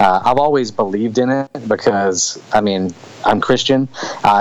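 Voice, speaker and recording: With a Louisiana accent, a man speaks at medium pitch and a moderate pace. His pitch varies in an ordinary way over noticeable background noise. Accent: southern US (Louisiana). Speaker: author and soldier. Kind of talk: interview. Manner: casual.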